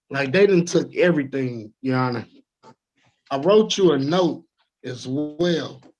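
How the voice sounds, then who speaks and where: A man talks fairly slowly. Background music plays beneath his voice. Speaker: litigant in court hearing. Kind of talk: court hearing testimony. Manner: halting.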